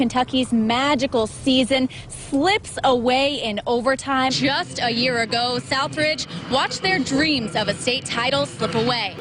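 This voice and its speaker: A woman with a high pitch speaks at a fairly slow pace over noticeable background noise. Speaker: sports reporter. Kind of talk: TV sports news anchoring and reporting.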